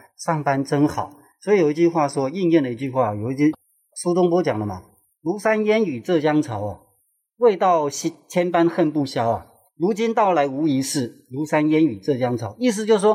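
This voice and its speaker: A man's fairly high-pitched voice carries a dark, mellow tone and very wide pitch swings. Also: moderate pace. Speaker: tour guide. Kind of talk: casual chat.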